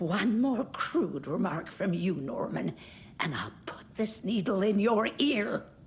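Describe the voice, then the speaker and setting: A woman's put-on character voice at medium pitch, fairly slow, with very wide pitch swings and clear background noise. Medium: video game. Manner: gossipy, tart.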